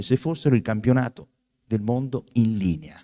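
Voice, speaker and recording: In a dark, mellow tone, a man talks at a moderate pace against a quiet background. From Italy. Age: 60s. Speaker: author and professor; professor. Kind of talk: book talk. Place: hall. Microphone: handheld.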